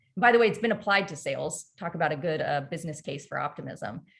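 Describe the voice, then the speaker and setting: A woman speaks in a fairly low, somewhat breathy voice with ordinary pitch variation. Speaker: performance coach, company CEO. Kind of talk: webinar masterclass presentation. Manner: animated.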